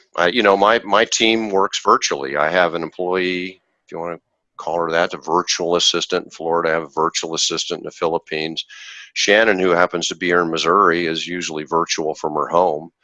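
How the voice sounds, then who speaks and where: Recorded very cleanly against a silent background with a dry, close sound and no echo, a man speaks fairly quickly in a very deep, low voice with a bright, sharp tone and fairly even intonation. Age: 60s. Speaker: investor, former orthodontist. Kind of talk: podcast interview. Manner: halting, with repeated words.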